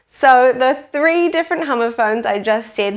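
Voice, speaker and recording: Lively intonation carries a woman's high voice in a New Zealand accent, recorded very cleanly with a silent background. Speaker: teacher. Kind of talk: tutorial. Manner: clear, slow explanatory pace for kids.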